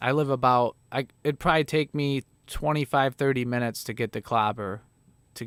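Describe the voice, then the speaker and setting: A man talks at a moderate pace with a slight Chicago accent and fairly even intonation. The sound is dry and close, with no echo. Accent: Chicago Midwestern, slight. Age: 30s. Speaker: livestreamer, former touring musician. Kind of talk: casual livestream chat. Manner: casual, filler-heavy.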